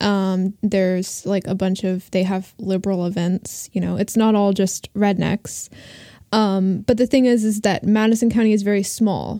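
A woman speaks at a moderate pace in an American accent, her pitch medium and her tone dark and mellow. Her intonation is monotone and flat, on a very clean recording with a silent background. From Asheville, North Carolina. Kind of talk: casual chat.

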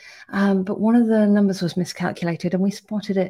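On a very clean recording with a silent background, a woman with a British accent speaks fairly quickly in a dark, mellow tone with fairly even intonation. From UK. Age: 30s. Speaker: startup CEO. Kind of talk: casual video update.

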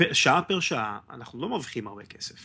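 This man's pitch sits in the medium range. He keeps a moderate pace. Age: 30s. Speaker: history podcaster and electronics engineer. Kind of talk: casual interview chat.

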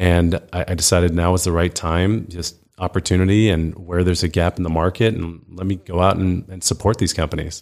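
This man's pitch is very deep and low. He talks at a fairly quick pace in a monotone, flat intonation. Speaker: venture debt fund founder. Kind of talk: casual interview conversation. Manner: relaxed, conversational.

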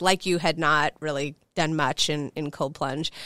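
The sound is dry and close with no echo as a woman talks with a Chicago accent. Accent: Chicago American English. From US Midwest, Chicago. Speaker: hospitality company co-founder. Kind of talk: interview conversation.

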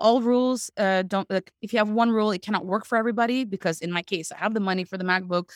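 A woman speaks at a very fast pace with a medium pitch and ordinary pitch variation. The sound is dry and close, with no echo. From Canada (Quebec, Montreal). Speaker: email deliverability consultant. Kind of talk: interview conversation. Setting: video call. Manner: animated.

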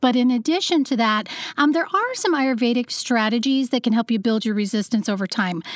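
An energetic woman's voice, high-pitched and fairly quick, with ordinary pitch variation and a dry, close sound free of echo. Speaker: podcast host, health coach and researcher. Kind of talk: interview. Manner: energetic, type A.

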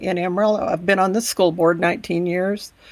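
Speaking in a Texan accent, a woman keeps a medium pitch and fairly even intonation. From Texas Panhandle. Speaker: education advocate and podcaster. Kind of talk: interview.

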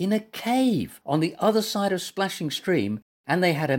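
Lively intonation in an unforced reading voice, over a quiet background

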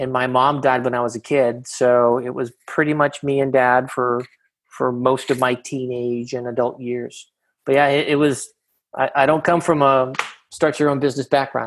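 Speaking in an American accent at a moderate pace, a man keeps his medium-pitched voice in a flat monotone. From Boston, Massachusetts (Jamaica Plain). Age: 50s. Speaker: company founder and CEO. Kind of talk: interview.

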